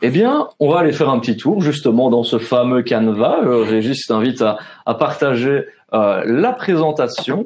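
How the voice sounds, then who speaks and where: A man speaks at a fairly slow pace in a Belgian Ardennes accent, his medium pitch showing ordinary variation and his loudness staying very even. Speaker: webinar host. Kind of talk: webinar moderation. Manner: casual, many fillers.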